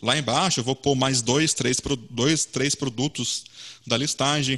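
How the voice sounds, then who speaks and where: Here a man speaks at a medium pitch. His pace is fairly slow. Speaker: web design community organizer. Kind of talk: online meetup presentation.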